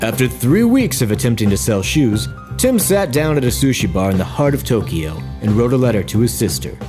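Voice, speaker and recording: Over music in the background, a man talks at a fairly quick pace in a serious tone, his pitch swinging very widely while his loudness stays very even. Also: medium pitch for a man. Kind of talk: mock documentary narration. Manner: over-the-top serious documentary style.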